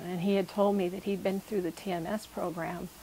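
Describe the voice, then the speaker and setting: A woman's medium-pitched voice at a moderate pace, monotone and flat in intonation. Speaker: patient. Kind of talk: testimony.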